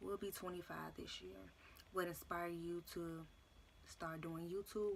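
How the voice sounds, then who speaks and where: A woman with a plain, everyday voice talks at a moderate pace. Her pitch is fairly low and her intonation fairly even. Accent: American. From Chicago. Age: 20s. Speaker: YouTuber. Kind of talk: Q&A vlog monologue.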